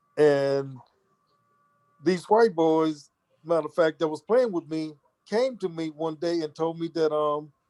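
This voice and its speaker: With an American accent, a man talks in a fairly high pitch and a dark, mellow tone, leaving long, frequent pauses. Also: ordinary pitch variation, fairly slow pace. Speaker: former basketball player. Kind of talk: interview. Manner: halting, repetitive.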